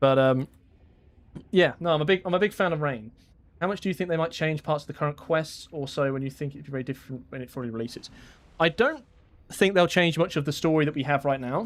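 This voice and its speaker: A man with a British accent at a very fast pace. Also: fairly high pitch for a man, ordinary pitch variation. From Britain. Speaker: gaming YouTuber streaming. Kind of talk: casual live-stream chat while gaming. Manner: casual, with frequent fillers and repeats.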